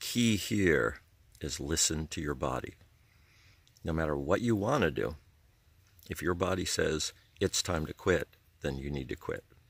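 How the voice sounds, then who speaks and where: A man with a very deep, low voice and vocal fry speaks with lively intonation and long, frequent pauses on a very clean recording with a silent background. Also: moderate pace. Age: 60s. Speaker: hiking vlogger. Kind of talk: casual advice monologue. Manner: halting, with frequent fillers.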